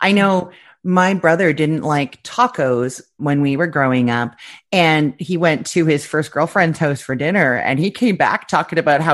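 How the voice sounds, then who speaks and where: In a quiet setting, a woman with a very deep, low pitch talks at a moderate pace with lively intonation. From Canada. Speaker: food blogger. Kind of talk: interview.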